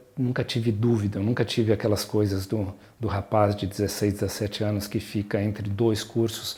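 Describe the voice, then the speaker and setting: Somewhat breathy and dark, mellow in tone, the voice moves at a moderate pace. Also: man. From southern Brazil (Rio Grande do Sul, Porto Alegre) then São Paulo. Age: 60s. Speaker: pediatrician and mountain guide. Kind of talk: personal life story interview. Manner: hesitant, with many fillers and repetitions.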